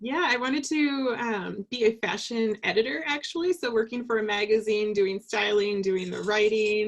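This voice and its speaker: With an American accent, a woman speaks at a medium pitch in a normal speaking voice. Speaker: leadership coach. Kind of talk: casual interview. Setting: video call.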